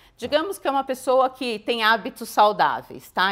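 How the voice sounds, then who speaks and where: Here a woman speaks at a fairly high pitch. The background is quiet. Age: 50s. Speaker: cardiologist; guest. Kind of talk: interview. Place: studio. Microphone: lapel.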